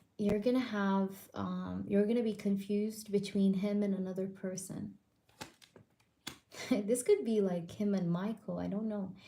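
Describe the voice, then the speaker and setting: A woman speaks quietly at a fairly slow pace. Her intonation is fairly even, with long, frequent pauses. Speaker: tarot reader. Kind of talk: live stream tarot reading. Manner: quiet, lowered voice; casual, filler-heavy.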